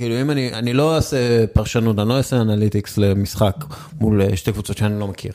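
An unremarkable speaking voice, a man with a fairly low pitch talks at a fairly quick pace with ordinary pitch variation. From northern Israel. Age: 40s. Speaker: sports journalist. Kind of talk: casual interview.

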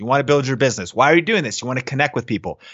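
A man is talking. His pitch is medium. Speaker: video marketing expert, interview guest. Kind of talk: interview, recorded Facebook Live. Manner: fast; animated, many fillers.

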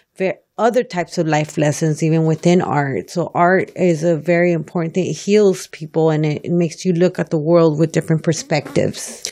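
This woman speaks with an American accent at a moderate pace. Her fairly low pitch carries a dark, mellow tone and fairly even intonation. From South Los Angeles. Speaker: painter and muralist, art educator. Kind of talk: interview. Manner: halting.

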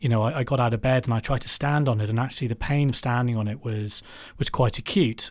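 Someone with an English accent speaks at a fairly quick pace with ordinary pitch variation on a very clean recording with a silent background. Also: man. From England, Warwickshire. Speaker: cancer survivor. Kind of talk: interview. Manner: halting.

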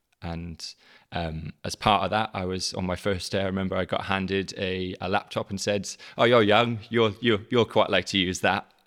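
Someone in a South Wales Valleys accent speaks at a moderate pace with fairly even intonation. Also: man, fairly low pitch for a man. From South Wales, the Valleys. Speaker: teacher, head of digital learning. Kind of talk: casual interview.

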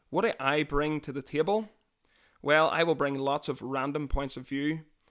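On a very clean recording with a silent background, a man with a Northern Irish accent speaks in a fairly high voice with fairly even intonation. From Northern Ireland, near Londonderry. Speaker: podcast host. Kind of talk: casual chat.

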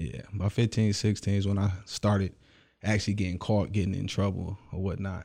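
A man's dark, mellow tone with fairly even intonation on a very clean recording with a silent background. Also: fairly low pitch for a man. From Michigan, Detroit area. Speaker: actor, musician and entrepreneur. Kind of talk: casual interview. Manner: halting, many fillers.

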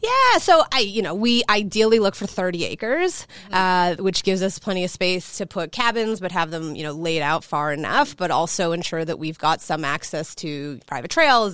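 A woman with a Chicago accent at a fairly low pitch and moderate pace, hardly any pauses, in a very clean recording over a silent background. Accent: Chicago American English. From US Midwest, Chicago. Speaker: hospitality company co-founder. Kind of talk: interview conversation.

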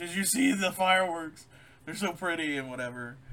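Putting on a character voice, a man talks fairly quickly in a high pitch with lively intonation. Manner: feigned innocence, cheery.

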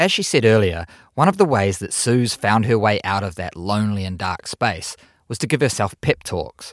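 A man's fairly low voice with ordinary pitch variation at a moderate pace, dry and close with no echo, on a very clean recording with a silent background. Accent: New Zealand. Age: 40s. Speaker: podcast host. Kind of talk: casual interview and narration.

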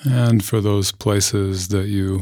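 A man's fairly low voice in a calm, soothing tone, very slow and fairly even in intonation, on a very clean recording with a silent background. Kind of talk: guided meditation. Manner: slow, calm, soothing, with long pauses between gentle instructions; soft-spoken, measured and unhurried.

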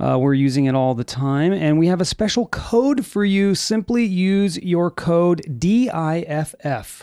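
A dark, mellow tone at a fairly slow pace, with hardly any pauses. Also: man, high pitch for a man. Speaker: studio producer reading ad. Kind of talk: sponsor ad read. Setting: studio.

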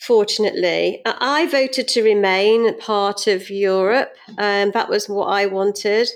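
A woman speaks with a British accent at a fairly high pitch. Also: very clean recording, silent background. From UK. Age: 50s. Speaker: financial adviser and business owner. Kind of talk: interview.

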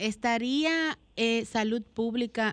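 The background is quiet. A woman speaks at a very slow pace. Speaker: radio co-host. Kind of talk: radio talk show. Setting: home.

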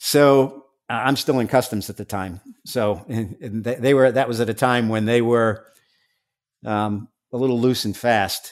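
Speaking in a plain, everyday voice with an American accent, the speaker keeps a moderate pace and fairly even intonation. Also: man, medium pitch for a man. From New York, Staten Island. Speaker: former undercover drug agent. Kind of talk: interview.

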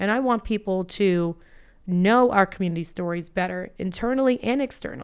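A woman with an American accent, medium pitch and ordinary pitch variation at a moderate pace, an unremarkable speaking voice, on a very clean recording with a silent background. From Florida (Boca Raton). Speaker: business school student and blogger. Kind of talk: interview conversation.

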